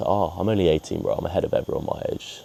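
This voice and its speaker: A man talks at a very fast pace with noticeable background noise behind him. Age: young, turning 19. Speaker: trader vlogger. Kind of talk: casual vlog monologue.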